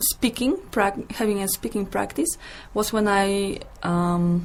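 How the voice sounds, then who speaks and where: A woman speaks with a Polish accent at a very slow pace. Her pitch varies in an ordinary way. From Poland. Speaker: English teacher. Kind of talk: interview.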